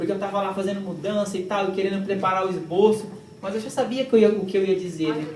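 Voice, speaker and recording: Very fast speech over noticeable background noise. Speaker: preacher. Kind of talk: sermon. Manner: animated.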